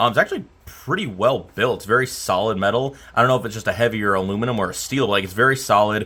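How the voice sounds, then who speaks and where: A man speaks loudly and very fast at medium pitch, in a bright, sharp tone. He hardly pauses at all. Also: ordinary pitch variation. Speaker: electronics repair technician. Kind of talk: casual repair tutorial. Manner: casual with hesitations.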